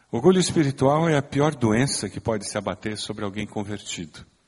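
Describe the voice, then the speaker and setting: A man speaks at a fairly quick pace. His is an ordinary speaking voice. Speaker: pastor. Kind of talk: sermon. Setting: church.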